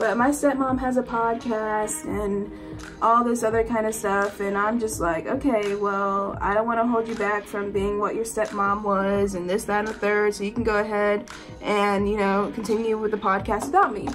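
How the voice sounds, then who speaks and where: Clear music plays in the background as a woman speaks at a moderate pace with fairly even intonation and hardly any pauses. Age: young. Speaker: college student. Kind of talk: casual storytime talk to camera. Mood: exasperated, animated storytelling. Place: home room. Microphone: phone near.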